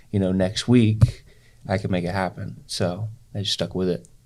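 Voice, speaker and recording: On a very clean recording with a silent background, a soft-spoken man with a very deep, low voice talks at a moderate pace with fairly even intonation. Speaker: salesperson. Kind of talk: interview. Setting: podcast studio.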